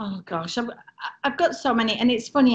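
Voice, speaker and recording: A woman talks at a fairly quick pace. She has an English accent. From England. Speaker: former cruise ship entertainer. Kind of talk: casual chat. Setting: video call.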